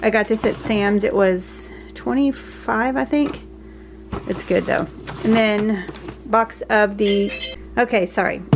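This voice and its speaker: Light noise runs beneath a woman's speech. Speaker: vlogger. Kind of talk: casual vlog chat. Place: kitchen. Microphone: phone near.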